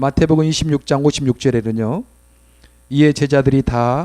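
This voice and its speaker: A man talks at a moderate pace in a dark, mellow tone, fairly high pitched. The sound is dry and close, with no echo. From South Jeolla, Mokpo, South Korea. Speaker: pastor. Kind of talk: sermon. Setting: church worship service.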